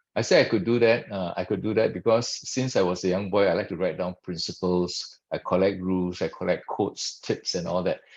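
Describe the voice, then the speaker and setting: A man speaks in a very deep, low pitch with fairly even intonation. His pace is fairly quick, with hardly any pauses. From Malaysia. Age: 60s. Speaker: actuary, past professional body president. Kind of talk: webinar talk. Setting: video webinar. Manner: halting, many fillers.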